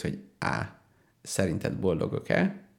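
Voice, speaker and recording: A man talks with vocal fry. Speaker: radio show co-host, university assistant lecturer. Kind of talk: casual chat.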